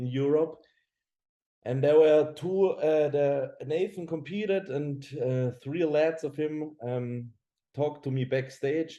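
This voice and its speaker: Very slowly, a man with a German accent speaks in a fairly high voice with a dark, mellow tone and fairly even intonation. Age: 20s. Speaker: professional bodybuilder. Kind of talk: casual chat. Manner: halting.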